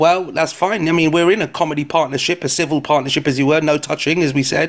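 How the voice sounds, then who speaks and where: A man speaks in a London accent at a very fast pace. His pitch is high and his intonation fairly even. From London, England. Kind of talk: casual chat. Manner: joking, banter.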